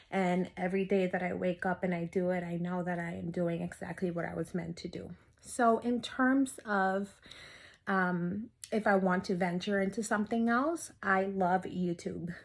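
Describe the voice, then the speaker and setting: A woman speaks in a normal speaking voice at medium pitch and a moderate pace, with fairly even intonation, on a very clean recording with a silent background. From US, raised by Dominican family (moved at two). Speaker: mental health therapist. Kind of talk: interview testimony.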